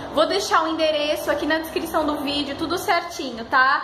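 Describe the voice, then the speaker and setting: A woman's raised, projected voice at a moderate pace over noticeable background noise. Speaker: lifestyle vlogger. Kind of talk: casual vlog chat. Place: home room. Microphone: phone near.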